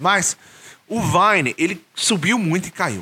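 High-pitched male speech with a bright, sharp tone. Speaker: YouTuber and English teacher. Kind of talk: casual monologue vlog. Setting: solo video recording, no editing. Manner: informal, many fillers and hesitations.

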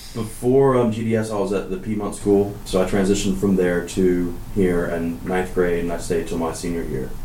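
A man with an American accent speaks in a very deep, low voice at a moderate pace, with ordinary pitch variation and hardly any pauses. Noticeable background noise and audible room echo are present. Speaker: school alumnus. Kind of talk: interview. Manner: halting, with many fillers.

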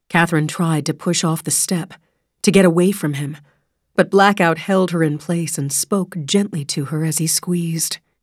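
A woman with a plain, everyday voice speaks at a moderate pace, fairly low in pitch and with fairly even intonation. The recording is very clean, with a silent background. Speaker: audiobook narrator. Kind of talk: dramatic audiobook narration of a thriller. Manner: tense, suspenseful, measured pacing; shifts into sharp, pained voices for character dialogue.

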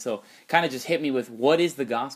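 At a fairly quick pace, a man talks at a medium pitch with ordinary pitch variation and a slightly husky edge.

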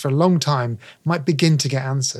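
Against a silent background, the recording is very clean. The talking goes at a fairly quick clip. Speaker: science journalist. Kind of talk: casual interview chat.

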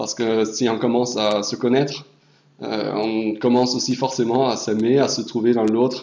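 In a German accent, a man talks very slowly at a medium pitch with monotone, flat intonation, and audible room echo surrounds him. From Hamburg, Germany. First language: German (speaking French). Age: young. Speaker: European volunteer. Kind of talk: presentation.

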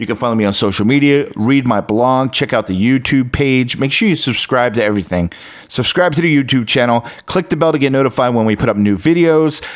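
A man with a plain, everyday voice speaks at medium pitch, with ordinary pitch variation and very even loudness. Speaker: podcast host and radio DJ. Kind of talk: podcast intro explaining a replayed radio air check. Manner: casual, chatty, storytelling.

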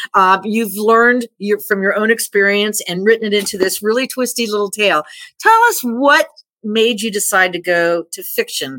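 With a bright, sharp tone and a fairly high pitch, a woman speaks at a moderate pace with ordinary pitch variation in a very clean recording with a silent background. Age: 60s. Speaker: radio host. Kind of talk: casual interview.

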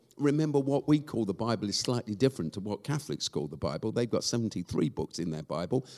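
A man's dark, mellow voice with an English accent, very wide pitch swings and vocal fry, in a dry, close sound with no echo. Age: 60s. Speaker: charity founder and church leader. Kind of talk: live interview before a church audience. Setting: stage with audience. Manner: halting, many fillers.

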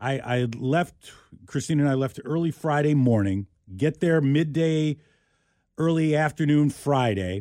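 Over a very clean recording with a silent background, a man with a fairly high pitch speaks at a fairly slow pace with lively intonation. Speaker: radio host. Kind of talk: casual chat. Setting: studio. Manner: halting.

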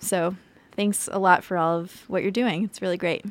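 A woman talks in a plain, everyday voice at a fairly low pitch with fairly even intonation. The recording is very clean, with a silent background. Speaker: podcast interviewer. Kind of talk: interview.

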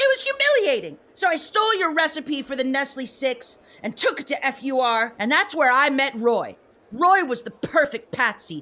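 A put-on character voice that sounds female swings very widely in pitch at a moderate pace. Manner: gloating, contemptuous.

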